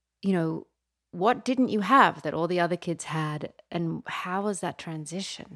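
A woman's normal speaking voice, medium in pitch, at a fairly slow pace. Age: 40s. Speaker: podcast host. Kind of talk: interview conversation. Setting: studio.

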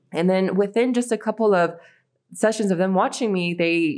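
A woman with an American accent talks in a normal speaking voice at a moderate pace, her pitch fairly low with ordinary variation. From United States. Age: 30s. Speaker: football player and coach. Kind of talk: interview.

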